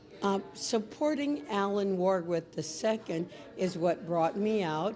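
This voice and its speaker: Noticeable background noise sits under a woman's medium-pitched voice. She talks at a very slow pace with ordinary pitch variation. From San Antonio, Texas (East Side). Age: 60s. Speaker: political supporter. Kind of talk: interview. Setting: coffee house event.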